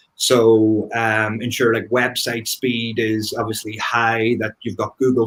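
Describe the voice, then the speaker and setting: With an Irish accent, a man talks at a fairly slow pace. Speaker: marketing expert panelist. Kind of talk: panel discussion.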